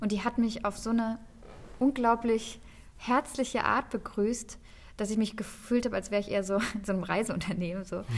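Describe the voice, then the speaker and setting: A woman with an ordinary speaking voice talks at a fairly high pitch and a fairly quick pace, keeping her intonation fairly even. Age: 30s. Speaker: editor. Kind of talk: casual chat.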